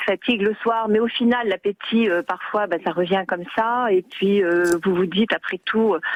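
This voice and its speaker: Her voice has a fairly high pitch with ordinary pitch variation. This woman speaks at a moderate pace. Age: 60s. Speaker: caller. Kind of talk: radio phone-in testimony. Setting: phone call. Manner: animated; hesitant with many fillers.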